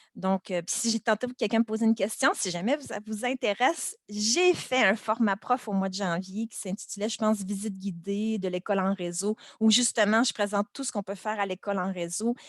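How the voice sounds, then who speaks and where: A woman speaks at a medium pitch in a Quebec accent. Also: ordinary pitch variation, fairly quick pace, dry, close sound with no echo. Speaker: primary school teacher. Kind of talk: webinar presentation. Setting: video call webinar. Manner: casual, many hesitations.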